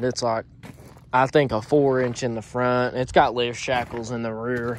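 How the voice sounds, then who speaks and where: With fairly even intonation, a man speaks in a dry sound with no echo over light background noise. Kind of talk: casual vlog chat. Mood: joking, relaxed. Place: street. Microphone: phone near.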